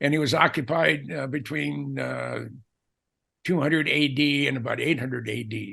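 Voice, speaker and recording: A man's bright, sharp voice at a fairly high pitch, with vocal fry and a fairly slow pace over a quiet background. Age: 70s. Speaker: aviation author. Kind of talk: casual chat. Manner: halting.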